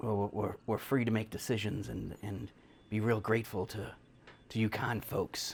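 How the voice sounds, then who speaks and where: Delivered at a moderate pace, the put-on character voice is raspy. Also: man, fairly low pitch for a man. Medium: actual play. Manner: halting, folksy, working-class speech.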